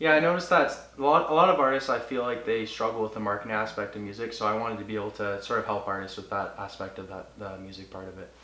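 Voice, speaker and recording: In a Canadian accent, a man talks at a very fast pace with a fairly low pitch, ordinary pitch variation and big swings in loudness, with audible room echo. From Cambridge, Ontario, Canada. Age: 20s. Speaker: music promoter and artist. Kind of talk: interview.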